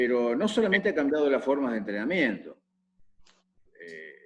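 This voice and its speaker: A man talks with a Rioplatense accent. His pitch swings very widely. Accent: Argentine Spanish (rioplatense, voseo). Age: 70s. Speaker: football coach. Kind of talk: interview Q&A on football tactics.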